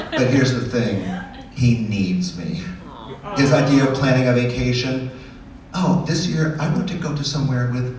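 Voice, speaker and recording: Lively intonation runs through speech at a moderate pace with long, frequent pauses, set in audible room echo and noticeable background noise. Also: man, medium pitch for a man. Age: 60s. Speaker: stand-up comedian. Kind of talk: stand-up.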